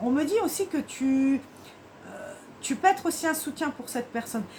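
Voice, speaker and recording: A woman speaks in a high voice. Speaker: tarot card reader. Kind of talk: tarot reading guidance. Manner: fast; halting.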